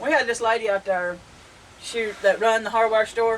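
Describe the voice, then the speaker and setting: Speaking at a moderate pace with a fairly high pitch and an animated tone, a woman with a Southern US accent is heard over noticeable background noise. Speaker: homestead vlogger. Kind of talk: casual chat. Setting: outdoors on front porch. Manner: animated storytelling.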